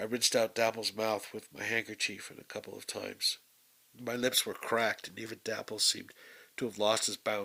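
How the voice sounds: The clip has a natural reading voice. That voice carries the whole recording.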